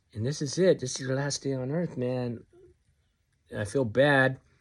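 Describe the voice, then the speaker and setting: A man with a medium pitch speaks on a very clean recording with a silent background. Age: 60s. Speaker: vlogger. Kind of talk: casual vlog monologue. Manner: halting, repetitive.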